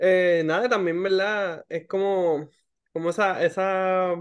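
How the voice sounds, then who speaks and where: Over a quiet background, a man talks in a high pitch. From Puerto Rico. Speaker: podcast host, clinical social worker. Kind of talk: casual chat. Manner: halting, many fillers.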